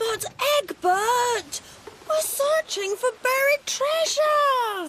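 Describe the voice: This is a cartoonish character voice at an extremely high pitch. It moves at a very slow pace.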